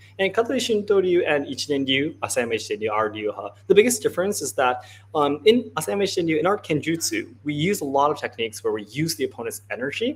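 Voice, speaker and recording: A man with a Japanese accent talks at a very fast pace with hardly any pauses. His fairly high pitch moves in very wide swings. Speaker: martial arts interpreter and livestream host. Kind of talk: live stream Q&A interpreting. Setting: livestream from a hot dojo.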